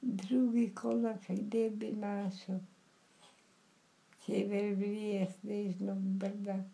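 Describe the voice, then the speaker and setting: Speaking very slowly with fairly even intonation, a woman sounds somewhat breathy and leaves long, frequent pauses. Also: medium pitch for a woman. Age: 80s+. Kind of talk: poetry reading.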